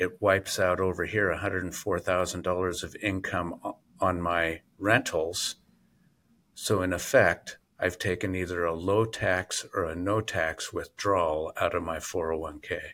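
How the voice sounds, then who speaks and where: Very deep and low, a man's voice has a bright, sharp tone and monotone, flat intonation, with an American accent. He goes at a very slow pace in a very clean recording with a silent background. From Oregon, US Pacific Northwest. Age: 60s. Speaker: real estate investor and realtor. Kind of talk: interview.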